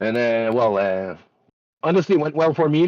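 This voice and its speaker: A man speaks with a French Canadian accent and lively intonation. The sound is dry and close, with no echo. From Quebec. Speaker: sim racing driver, race winner. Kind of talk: post-race interview. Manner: halting, many fillers.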